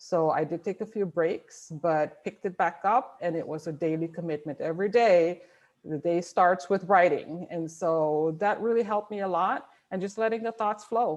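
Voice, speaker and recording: A woman with a non-native accent against a quiet background. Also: fairly low pitch for a woman, ordinary pitch variation, moderate pace. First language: not English. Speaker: author. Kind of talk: panel discussion.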